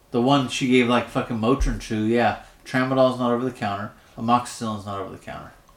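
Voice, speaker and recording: A man at medium pitch, very fast and in a monotone, flat intonation, with big swings in loudness over noticeable background noise. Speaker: podcast co-host. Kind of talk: casual chat. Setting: mostly empty room at a new farm property. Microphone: echoey room.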